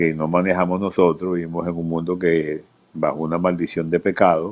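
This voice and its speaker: Flat and monotone, a man's very deep, low voice moves at a moderate pace. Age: 70s. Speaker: pastor. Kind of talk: live video interview.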